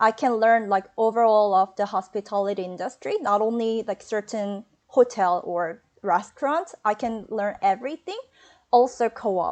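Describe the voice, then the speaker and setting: The speaker has a Korean accent. The pace is moderate. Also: woman, fairly high pitch for a woman, ordinary pitch variation. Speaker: hospitality graduate, hotel front desk agent. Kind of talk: webinar interview. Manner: halting.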